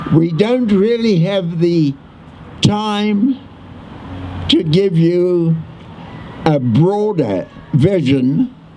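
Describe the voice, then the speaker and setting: With noticeable background noise, a man speaks very slowly at a high pitch with lively intonation. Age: 80s+. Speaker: war veteran. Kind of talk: memorial speech.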